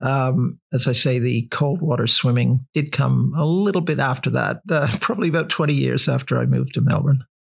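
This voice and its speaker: This man talks at a moderate pace. Vocal fry runs through his voice. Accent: Canadian. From Canada. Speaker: author and cold water swimmer. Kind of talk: casual interview. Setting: at his home.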